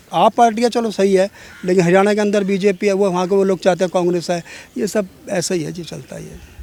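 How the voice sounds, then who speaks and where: A high-pitched male voice with fairly even intonation and big swings in loudness, over noticeable background noise. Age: 60s. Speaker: member of the public interviewed. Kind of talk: street interview. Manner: casual.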